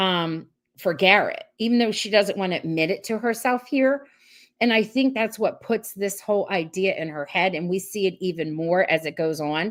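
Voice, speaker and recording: In a New Jersey accent, a woman with a medium pitch speaks at a moderate pace in an animated tone with lively intonation, on a very clean recording with a silent background. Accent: New Jersey American. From US Northeast, South Jersey. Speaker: podcast host. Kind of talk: casual livestream recap.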